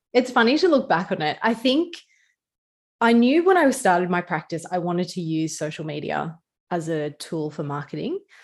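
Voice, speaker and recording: A woman with a broad Australian accent and fairly low pitch speaks at a moderate pace with very wide pitch swings. The recording is very clean, the background silent. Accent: Australian, casual ocker. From Newcastle, Australia. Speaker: small business lawyer. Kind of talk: casual chat.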